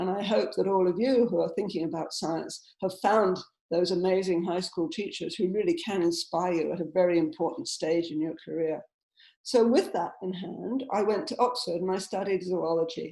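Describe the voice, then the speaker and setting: This woman has a medium pitch and a dark, mellow tone, with an English accent. She talks at a moderate pace with ordinary pitch variation. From southern England. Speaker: scientist. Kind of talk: lecture.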